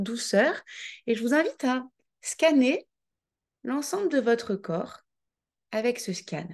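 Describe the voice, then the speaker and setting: This woman has a high pitch, a calm tone and lively intonation. She talks very slowly, with long, frequent pauses, against a quiet background. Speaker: life coach. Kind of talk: guided visualization; online coaching masterclass. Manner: calm, measured pace; soft, gentle.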